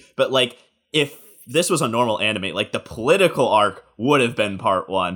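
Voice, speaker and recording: This man has an ordinary speaking voice, medium in pitch, and he talks at a moderate pace with lively intonation. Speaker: podcast co-host. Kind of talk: casual chat.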